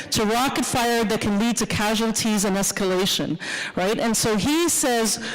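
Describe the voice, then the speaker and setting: Noticeable background noise and audible room echo surround a woman speaking at a moderate pace. Her pitch is fairly high. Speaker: professor. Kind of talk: lecture.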